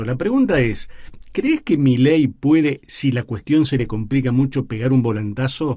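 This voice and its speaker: A man with a dark, mellow tone and a fairly high pitch speaks at a moderate pace with lively intonation. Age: 60s. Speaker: radio host. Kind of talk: radio interview.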